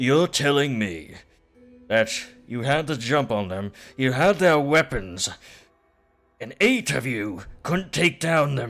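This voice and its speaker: Using a gruff, put-on character voice of medium pitch, a man speaks at a fairly slow pace with very wide pitch swings and long, frequent pauses. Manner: angry, bitter.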